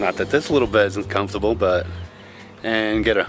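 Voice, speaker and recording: Faint music plays in the background as a man speaks at a moderate pace. The sound is dry with no echo. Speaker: solo sailor vlogger. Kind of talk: casual vlog chat. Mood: relaxed, cheerful. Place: waterside. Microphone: phone near.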